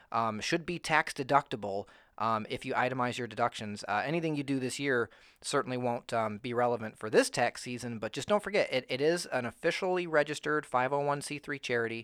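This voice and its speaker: Recorded very cleanly against a silent background, with a dry, close sound and no echo, a man talks at a very fast pace with ordinary pitch variation. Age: 30s. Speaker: podcast host. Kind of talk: casual chat. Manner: halting, lots of fillers and restarts.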